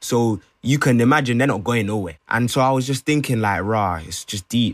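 A man with a London accent speaks at a moderate pace and medium pitch with ordinary pitch variation, the sound dry and close with no echo on a very clean recording with a silent background. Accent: London multicultural English. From London (Brent), Ghanaian family. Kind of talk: casual discussion.

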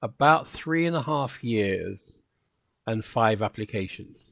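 A man talks with lively intonation over a quiet background. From England, Kent then London. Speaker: retired police officer. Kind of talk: interview. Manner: halting, many fillers.

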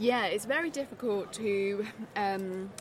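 A woman speaks at medium pitch in a southern English accent. Noticeable background noise can be heard. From southeast England. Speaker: literature professor. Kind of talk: casual chat. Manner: halting.

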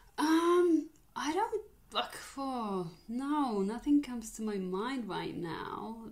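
A woman's high voice with very wide pitch swings at a very slow pace, over noticeable background noise. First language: Polish. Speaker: podcast co-host. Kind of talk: casual chat.

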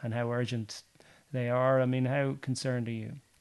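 A man talks at a medium pitch with an Irish accent. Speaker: podcast host and sports journalist. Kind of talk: casual interview. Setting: recorded at guest's home.

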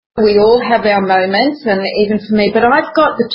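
The woman's fairly high voice has a somewhat breathy edge. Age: 60s. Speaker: natural perfumer. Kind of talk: interview.

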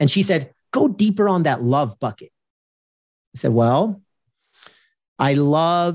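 At a fairly slow pace, a man with an American accent speaks in a fairly high, energetic, animated tone with very wide pitch swings. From Los Angeles, US West Coast. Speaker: keynote speaker and former sports executive. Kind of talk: interview conversation.

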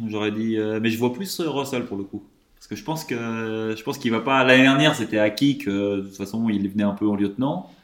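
A man with an ordinary speaking voice talks at a fairly quick pace, at medium pitch with ordinary pitch variation. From Lyon, France. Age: 20s. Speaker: guest. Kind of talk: casual chat.

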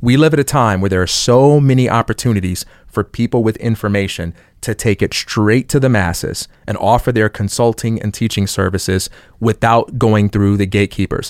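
A man with an American accent talks in a plain, everyday voice at a fairly low pitch and moderate pace. The recording is very clean and dry, close with no echo, over a silent background. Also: ordinary pitch variation. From Chicago. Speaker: education entrepreneur. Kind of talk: casual chat.

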